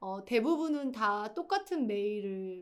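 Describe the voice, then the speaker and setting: A woman has a normal speaking voice with a fairly high pitch. Her intonation is lively. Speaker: writer teaching a writing course. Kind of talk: lecture.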